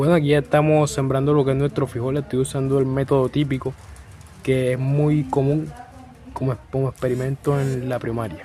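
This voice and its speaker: A man speaks with a Colombian coastal accent at a medium pitch and a moderate pace. His intonation is fairly even, and there is noticeable background noise. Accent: Colombian coastal (costeño). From Colombian Caribbean coast. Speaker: university student. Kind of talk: class assignment video presentation.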